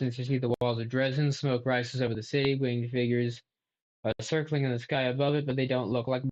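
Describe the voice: Against a quiet background, the clip is plain reading aloud.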